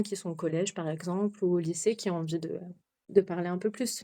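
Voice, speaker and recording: A woman's medium-pitched, dark and mellow voice at a fairly quick pace, on a very clean recording with a silent background. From France. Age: 30s. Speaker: expatriate mother. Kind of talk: podcast interview. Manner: hesitant, many fillers.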